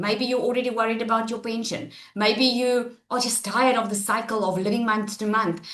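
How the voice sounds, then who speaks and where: The speaker talks at a fairly quick pace, with audible room echo in the recording. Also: woman. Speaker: online business webinar presenter. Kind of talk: live webinar presentation. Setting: online webinar. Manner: loud; animated.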